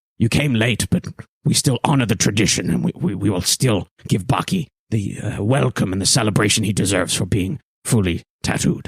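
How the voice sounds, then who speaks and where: A man's put-on character voice, fairly low and fairly quick, with lively intonation and a dry, close sound with no echo. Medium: actual play. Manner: gruff, terse.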